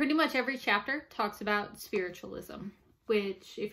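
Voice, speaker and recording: Bright and sharp in tone, a woman talks at a moderate pace with an American accent. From US South, New Orleans; Louisiana. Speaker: amateur ghost hunter and book reviewer; amateur ghost hunter, book reviewer. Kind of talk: casual book review monologue. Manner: hesitant, with frequent fillers. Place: home room. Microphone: webcam.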